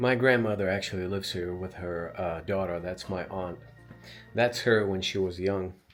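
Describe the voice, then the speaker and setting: The pace of the speech is moderate. Behind it, music plays. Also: man, very deep, low pitch for a man. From Russia (Ufa). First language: Russian. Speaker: vlogger. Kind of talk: casual talk to camera. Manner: hesitant, searching for words.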